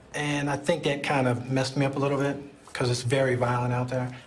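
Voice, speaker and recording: The delivery is monotone and flat. Audible room echo and noticeable background noise fill the recording. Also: man. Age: 40s. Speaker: prison inmate. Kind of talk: interview testimony.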